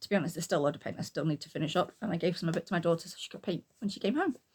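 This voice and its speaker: In a British accent, a woman speaks in a somewhat breathy voice with ordinary pitch variation. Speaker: booktuber and artist. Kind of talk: casual talk to camera.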